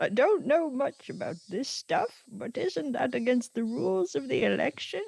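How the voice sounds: A put-on character voice is pitched fairly high. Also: moderate pace, hardly any pauses.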